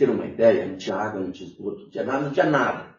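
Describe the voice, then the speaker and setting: Speaking very fast, a man is heard with audible echo from the room. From northern Paraná, Brazil. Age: 70s. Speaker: former city councillor and union activist. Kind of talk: interview. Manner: animated.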